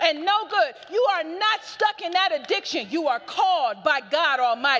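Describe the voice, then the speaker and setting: A woman speaks in a raised, projected voice at an extremely high pitch, animated and with very wide pitch swings. Her pace is moderate, and background noise is noticeable. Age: 40s. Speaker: preacher. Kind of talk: sermon.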